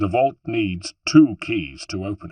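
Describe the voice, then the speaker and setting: A gruff, growling put-on character voice moves at a fairly slow pace with lively intonation, recorded dry and close with no echo. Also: man. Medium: read story. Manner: gruff, blunt.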